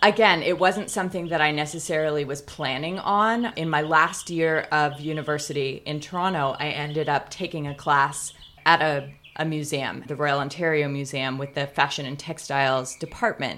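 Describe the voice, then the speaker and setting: Speaking with a Californian accent, a woman has a very deep, low pitch. Her tone is bright and sharp, her pace moderate. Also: ordinary pitch variation. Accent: Californian American. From Pasadena, Southern California. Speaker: museum curator and historian. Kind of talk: casual interview conversation. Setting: outdoors.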